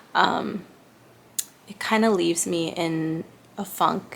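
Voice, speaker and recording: Quietly, a woman speaks with fairly even intonation. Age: 30s. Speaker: lifestyle vlogger. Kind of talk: casual vlog monologue. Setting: small apartment bedroom.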